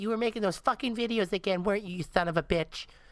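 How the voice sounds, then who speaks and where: A female-sounding, put-on character voice rattles along at a very fast pace and a medium pitch for a woman. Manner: angry, accusing.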